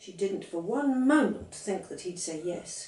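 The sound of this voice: A woman at medium pitch speaks fairly slowly, her tone slightly mellow and her intonation lively. Room echo is audible.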